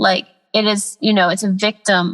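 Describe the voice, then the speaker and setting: A woman with an American accent speaks at a moderate pace in a plain, everyday voice, fairly high in pitch, with a dry, close sound with no echo. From US South, Atlanta then Los Angeles. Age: 20s. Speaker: artist, podcast guest. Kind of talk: casual chat.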